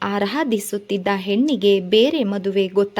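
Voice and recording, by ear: Ordinary pitch variation while reading aloud in a natural voice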